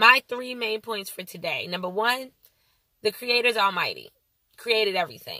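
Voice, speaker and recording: The voice is bright and sharp, with vocal fry and ordinary pitch variation, at a moderate pace. The sound is dry and close, with no echo. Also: woman. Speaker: faith vlogger. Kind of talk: video blog teaching on scripture. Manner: casual, with many fillers.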